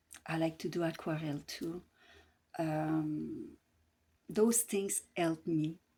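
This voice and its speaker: Speaking with a Quebec accent, a woman uses a fairly low pitch and fairly even intonation in a very clean recording with a silent background. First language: French. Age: 60s. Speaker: grief support coach. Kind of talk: casual advice talk to camera. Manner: hesitant, many fillers.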